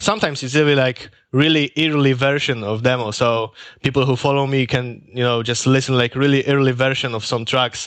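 A man with a Polish accent, medium-pitched and fairly quick, with fairly even intonation. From Poland. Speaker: music producer. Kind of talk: interview. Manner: halting.

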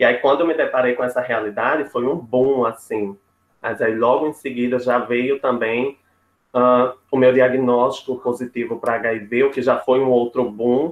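Man at medium pitch and moderate pace, monotone and flat in intonation. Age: 20s. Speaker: psychology student and HIV activist. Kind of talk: panel discussion.

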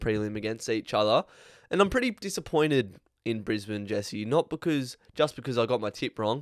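At a fairly quick pace, a man with an Australian accent speaks in a medium pitch on a very clean recording with a silent background and a dry, close sound with no echo. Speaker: AFL podcast host. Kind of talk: casual sports chat.

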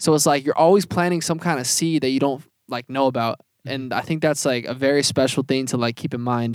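With a normal speaking voice, a man talks at a fairly quick pace in a fairly high pitch, his intonation fairly even. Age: 20s. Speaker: podcast co-host and music artist. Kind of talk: casual chat. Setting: inside an RV.

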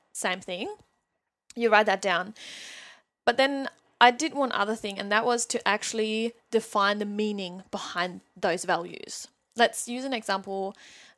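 A woman with a fairly high pitch speaks in an animated tone at a fairly slow pace, leaving long, frequent pauses. The recording is very clean with a silent background. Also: ordinary pitch variation. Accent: German. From Germany. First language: German. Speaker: mindset coach. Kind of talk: casual interview. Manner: animated, laughs often.

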